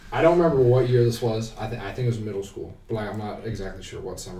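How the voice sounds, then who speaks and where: A man with an American accent speaks very fast at a fairly low pitch with ordinary pitch variation, hardly any pauses and big swings in loudness, with noticeable background noise and audible room echo. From Ohio, Canton. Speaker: university student. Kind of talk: casual chat. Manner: animated.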